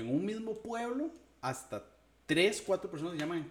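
A man talks at a fairly quick pace with a Costa Rican accent. His pitch swings very widely. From Costa Rica, southern San José. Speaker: podcast co-host. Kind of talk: casual chat.

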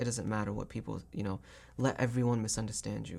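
Over a silent background in a very clean recording, a man with a fairly low pitch and vocal fry talks very fast, his pitch varying in an ordinary way. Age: 20s. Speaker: podcast host. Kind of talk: casual chat.

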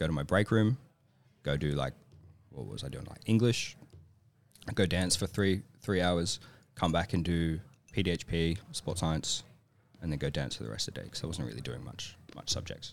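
With an Australian accent, a man with a very deep, low pitch and vocal fry speaks at a moderate pace with lively intonation and long, frequent pauses. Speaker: professional ballet dancer. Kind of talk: casual chat. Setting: studio. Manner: energetic.

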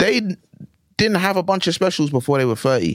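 In a London accent, a man speaks at a fairly quick pace with very wide pitch swings. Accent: London English, multicultural London. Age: 20s. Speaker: comedian. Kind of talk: casual chat.

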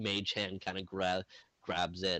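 The man speaks at a moderate pace. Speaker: tabletop game master. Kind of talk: role-play game narration. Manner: rambling.

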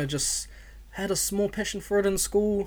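Someone speaks with an Auckland accent. The pace is moderate. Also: man. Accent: New Zealand English, South Auckland. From New Zealand, South Auckland (Otara). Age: 20s. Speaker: podcast host. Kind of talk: casual monologue.

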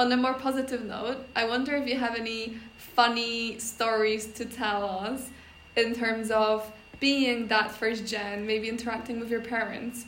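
A woman's fairly high voice in a Polish accent, monotone and flat, at a fairly slow pace. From Poland. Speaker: podcast host. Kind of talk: casual chat.

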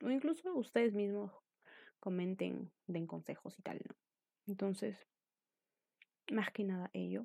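In a dark, mellow tone, a woman talks at a fairly slow pace and medium pitch with ordinary pitch variation and long, frequent pauses, in a dry, close sound with no echo. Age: 20s. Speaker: podcaster. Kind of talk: casual monologue.

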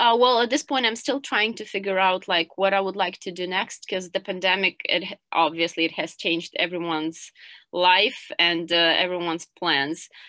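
Against a quiet background, a woman talks at a moderate pace with hardly any pauses. Her medium-pitched voice has a bright, sharp tone, ordinary pitch variation, and a dry, close sound with no echo. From Ukraine, Kyiv. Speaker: English teacher. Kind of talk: interview.

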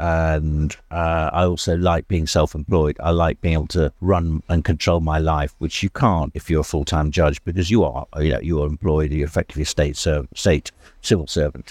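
A man with a very deep, low pitch speaks at a moderate pace with hardly any pauses and fairly even intonation. The recording is very clean, with a silent background. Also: dry, close sound with no echo. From Wales. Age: 60s. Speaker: barrister. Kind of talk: casual interview chat over lunch. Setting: restaurant lunch.

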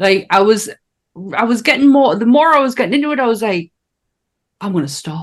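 Between long, frequent pauses, a woman speaks at a fairly quick pace in a fairly high pitch that moves in very wide swings. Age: 40s. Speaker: podcast host. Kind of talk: casual chat.

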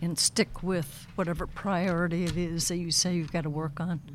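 A woman with vocal fry talks at a moderate pace. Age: 60s. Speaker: retired college administrator. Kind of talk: casual chat. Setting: studio.

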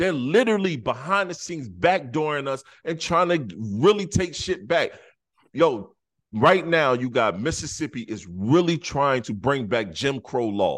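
Against a quiet background, a fairly high-pitched man talks at a fairly slow pace with vocal fry. His pitch swings very widely. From South Carolina. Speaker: podcast host. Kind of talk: casual chat.

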